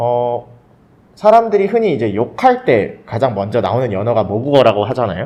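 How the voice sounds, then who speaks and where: A man speaks at a moderate pace with a dark, mellow tone. His pitch swings very widely. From Korean family abroad, Thailand from age 11. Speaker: podcast guest. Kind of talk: casual chat.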